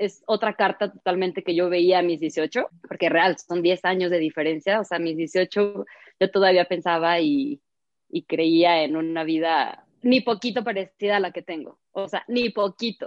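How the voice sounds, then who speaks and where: This woman has a plain, everyday voice at medium pitch. She talks at a fairly slow pace with ordinary pitch variation. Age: 20s. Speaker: ceramic artist. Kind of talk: casual chat. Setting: call.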